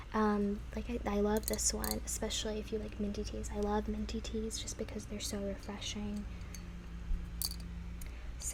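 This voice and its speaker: A woman talks over noticeable background noise. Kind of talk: ASMR roleplay of a tea shop clerk. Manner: friendly, helpful, relaxed customer-service tone.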